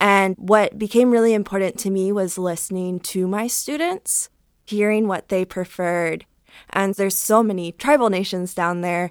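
Speaking at a moderate pace with an American accent, a woman has a plain, everyday voice at a medium pitch, recorded dry and close with no echo on a very clean recording with a silent background. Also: fairly even intonation. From US Midwest, Cleveland, Ohio. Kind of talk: panel discussion.

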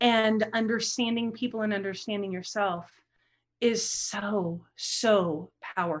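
A woman with an unremarkable speaking voice, fairly high in pitch, with fairly even intonation and a fairly slow pace. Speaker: relationship coach and trauma survivor. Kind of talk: interview, personal story.

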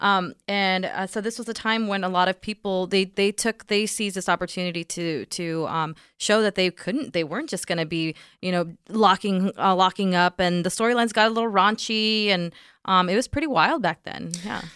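A woman with an American accent and a plain, everyday voice talks at a fairly quick pace with a medium pitch and ordinary pitch variation, in a very clean recording with a silent background and a dry, close sound with no echo. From Texas (Sweetwater). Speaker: gamer and gaming coach. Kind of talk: casual chat, explaining history.

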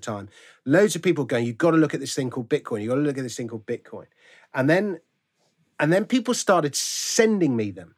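A man with a London accent. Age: 50s. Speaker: author and comedian. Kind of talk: casual chat. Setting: remote call.

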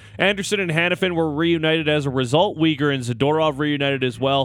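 A man talks at a very fast pace in an upbeat, excited tone with ordinary pitch variation. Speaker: radio sports host. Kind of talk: sports radio recap, recapping highlights. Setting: radio studio. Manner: upbeat, excited, conversational.

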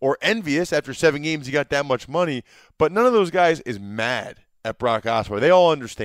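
The moderate-paced speech has a dry, close sound with no echo on a very clean recording with a silent background. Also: man. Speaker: former NFL player and podcast host. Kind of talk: casual chat.

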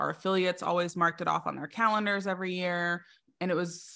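A woman speaks at a fairly quick pace with fairly low pitch in an ordinary speaking voice. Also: very clean recording, silent background. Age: 30s. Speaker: business strategist. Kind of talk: interview.

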